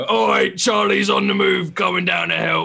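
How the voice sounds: A raspy, fairly low-pitched put-on character voice from a man at a moderate pace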